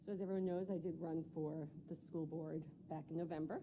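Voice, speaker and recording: A woman with an American accent speaks with a very deep, low pitch, a dark, mellow tone, vocal fry and fairly even intonation. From New York. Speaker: school board candidate. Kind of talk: candidate interview. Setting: public board meeting.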